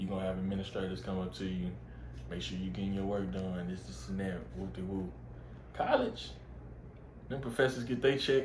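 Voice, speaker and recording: With an American accent, a man with a very deep, low voice and vocal fry talks at a fairly quick pace, swinging widely in pitch and taking long, frequent pauses, with audible room echo. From Texas, Waco. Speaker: college football player. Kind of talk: casual interview.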